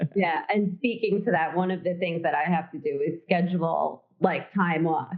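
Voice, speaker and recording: Here is a woman with a plain, everyday voice and a fairly low pitch. She speaks at a moderate pace with ordinary pitch variation. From New York. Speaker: legal nurse consultant. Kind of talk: interview.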